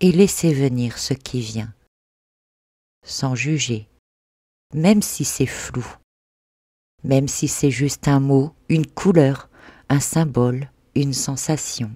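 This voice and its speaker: Long, frequent pauses break up talking that proceeds very slowly. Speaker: spiritual podcaster and meditation guide (hypnosis and NLP). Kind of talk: guided meditation / spiritual podcast narration.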